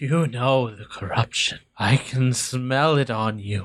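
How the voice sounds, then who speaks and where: A man puts on a character voice, speaking fairly slowly at a medium pitch. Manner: creepy, ominous.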